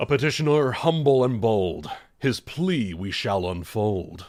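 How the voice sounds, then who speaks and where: A booming, put-on character voice moves at a fairly slow pace. Its pitch swings are very wide. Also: man, medium pitch for a man. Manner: grand and ceremonial.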